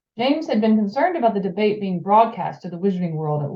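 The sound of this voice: Lively intonation in an unforced reading voice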